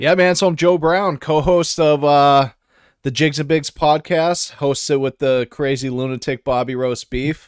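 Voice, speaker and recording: Heard in a very clean recording with a silent background and a dry, close sound without echo, a man with an unremarkable speaking voice and an American accent talks at a fairly slow pace, fairly high in pitch, with fairly even intonation. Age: 30s. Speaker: fishing podcaster and angler. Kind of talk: casual chat.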